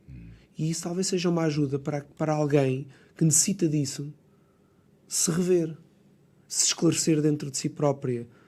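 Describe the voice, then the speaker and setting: Somewhat breathy and dark, mellow in tone, a man with a Lisbon accent speaks at a fairly high pitch with fairly even intonation and long, frequent pauses. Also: moderate pace, very clean recording, silent background. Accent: European Portuguese, Lisbon. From Lisbon suburbs, Portugal. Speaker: architect and poet. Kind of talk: podcast interview answer. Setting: radio studio.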